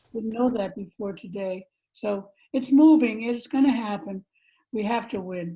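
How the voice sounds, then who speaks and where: A woman with a fairly high pitch and a somewhat breathy sound talks at a moderate pace, her pitch varying in an ordinary way. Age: 80s+. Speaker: radio host and concert organizer. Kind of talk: casual remarks. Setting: video call.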